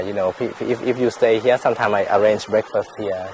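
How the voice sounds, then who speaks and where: A fairly low-pitched man with fairly even intonation at a fairly quick pace, over noticeable background noise. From Thailand, Chiang Mai. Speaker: resort owner. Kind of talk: casual chat. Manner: halting, many repetitions.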